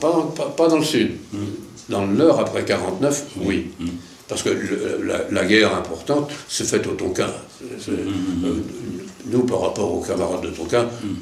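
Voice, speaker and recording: Noticeable background noise sits behind the speech. A man delivers it at a fairly slow pace. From Lorraine, France. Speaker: retired army officer, war veteran. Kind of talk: interview answer.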